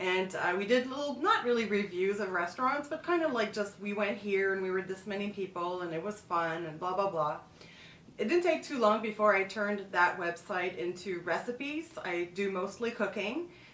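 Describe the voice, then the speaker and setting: A woman talks at a moderate pace with medium pitch and lively intonation. Noticeable background noise runs underneath. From Quebec, Montreal. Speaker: travel and food vlogger. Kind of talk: casual vlog monologue.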